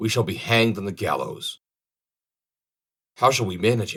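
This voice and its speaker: A man speaks at a moderate pace. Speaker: audiobook reader. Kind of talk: storybook audiobook reading.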